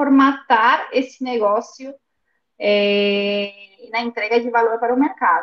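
A woman's normal speaking voice, fairly high-pitched with ordinary pitch variation, at a fairly slow pace. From Buenos Aires, Argentina. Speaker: service design consultant. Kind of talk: interview conversation. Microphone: phone with headphones.

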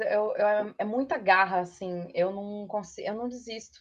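A woman with a Minas Gerais accent talks at a fairly slow pace. Her fairly high voice shows ordinary pitch variation. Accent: Minas Gerais (mineiro) accent, kept. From interior of Minas Gerais, Brazil (Matozinhos). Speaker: advertising professional. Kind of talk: casual chat.

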